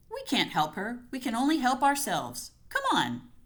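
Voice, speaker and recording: This is a put-on character voice that sounds female and is high in pitch. It moves at a moderate pace. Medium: read story. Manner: firm, controlled.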